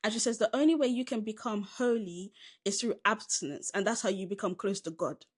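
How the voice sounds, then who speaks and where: Speaking at a fairly quick pace with a Southern English accent, a woman uses lively intonation at a fairly high pitch. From southern England, Caribbean heritage. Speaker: film podcast co-host. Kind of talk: film review chat. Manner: casual, conversational.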